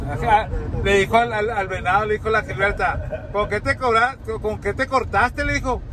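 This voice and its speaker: Animated tone from a man, dry sound with no echo, light background noise. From Sinaloa, Mexico. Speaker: vlogger. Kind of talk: casual vlog chat. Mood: joking, storytelling. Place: car. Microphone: phone near.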